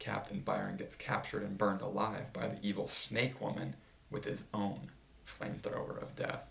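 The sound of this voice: An unforced reading voice carries the text.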